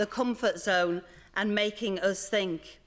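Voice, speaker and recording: A woman with a Leeds accent, at a fairly slow pace. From northern England, Leeds. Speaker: museum organisation director. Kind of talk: conference welcome speech.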